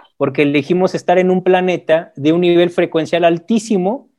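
Pitched high, a man speaks at a moderate pace in a dark, mellow tone with fairly even intonation. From Mexico. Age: 40s. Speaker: akashic records reader. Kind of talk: interview. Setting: video call.

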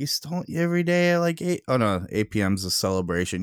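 A man talks at a very fast pace, the sound dry and close with no echo. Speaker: podcast host. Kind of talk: casual chat.

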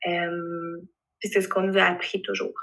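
The woman talks at a moderate pace. Her accent is a Quebec accent. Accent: Québécois French. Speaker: illustrator. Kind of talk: interview. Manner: animated.

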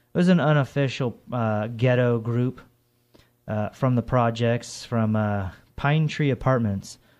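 A man speaks at a fairly slow pace with an ordinary speaking voice at medium pitch. The recording is very clean, with a silent background. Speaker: college radio DJ. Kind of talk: radio DJ patter. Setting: college radio studio. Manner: rambling, chatty, off-the-cuff and jokey, with fillers and tangents between songs; casual, irreverent.

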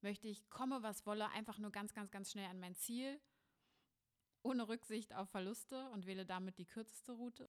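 A woman speaks in an unremarkable speaking voice at a moderate pace. Her pitch is fairly high and her intonation fairly even. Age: 20s. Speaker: spiritual coach and podcast host. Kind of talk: solo podcast monologue.

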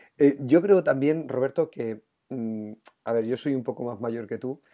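The tone is dark and mellow. It is a very clean recording with a silent background. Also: man. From Spain, La Mancha. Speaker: education podcast host, teacher. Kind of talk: interview.

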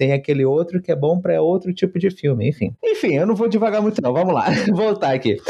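With a Brazilian accent, a man speaks at a fairly quick pace in a high pitch, with lively intonation and a dark, mellow tone. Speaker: podcast co-host. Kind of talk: casual interview chat.

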